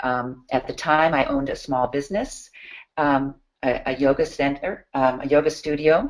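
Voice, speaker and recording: A woman speaks with fairly even intonation in a very deep, low pitch. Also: moderate pace. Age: 60s. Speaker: nutrition consultant and yoga teacher. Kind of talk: online seminar presentation. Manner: halting, many fillers.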